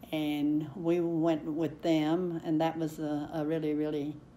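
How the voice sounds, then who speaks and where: Audible room echo surrounds a woman whose very deep, low pitch and dark, mellow tone carry at a very slow pace. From Kentucky, eastern. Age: 90s. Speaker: oral history interviewee. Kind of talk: oral history interview. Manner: halting, many fillers.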